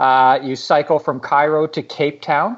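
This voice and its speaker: In an ordinary speaking voice, a man with a Canadian accent talks at a fairly slow pace and fairly high pitch against a quiet background. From Canada. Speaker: travel blogger. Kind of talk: interview conversation. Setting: remote call.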